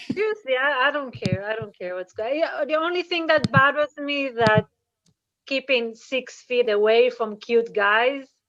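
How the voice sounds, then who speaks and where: Speaking with an Israeli accent, a woman with a high pitch talks at a moderate pace with lively intonation. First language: Hebrew. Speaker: comedian. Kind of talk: stand-up.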